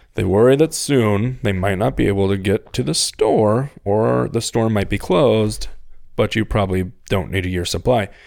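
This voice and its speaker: With an animated tone and lively intonation, a man speaks at a moderate pace in a fairly low pitch on a very clean recording with a silent background. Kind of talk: casual chat. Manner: profane, joking, animated.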